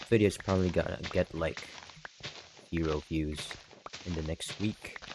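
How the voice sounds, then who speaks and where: A quiet voice speaks at a moderate pace with long, frequent pauses. Noticeable background noise is present. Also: man. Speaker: gaming youtuber. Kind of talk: casual vlog while playing game. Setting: at home at night. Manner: quiet, subdued.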